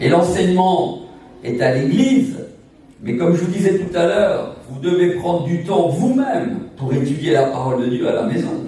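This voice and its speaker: The man's voice is high-pitched with very wide pitch swings at a moderate pace. Audible room echo and noticeable background noise fill the recording. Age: 60s. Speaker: evangelist singer and preacher. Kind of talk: sermon. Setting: church service.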